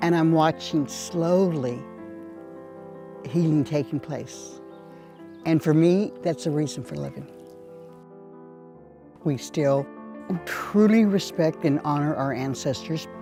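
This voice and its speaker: A woman with an American accent, very deep and low in pitch, lively in intonation, at a very slow pace with long, frequent pauses, music in the background. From Indian Canyon, Hollister, California. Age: old. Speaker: Ohlone elder and land steward. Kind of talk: documentary interview answer.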